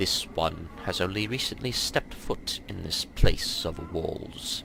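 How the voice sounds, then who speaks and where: Over clear background noise, a man uses a put-on character voice that is resonant and very deep, moving at a fairly slow pace. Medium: game stream. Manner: formal, refers to himself as this one.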